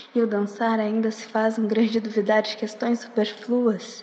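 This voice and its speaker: Over noticeable background noise, a woman speaks in an intense tone with monotone, flat intonation at a fairly slow pace. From Porto Alegre, southern Brazil. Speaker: slam poet. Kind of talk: spoken word poetry, slam performance. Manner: intense, rhythmic, emotive delivery; reflective, introspective.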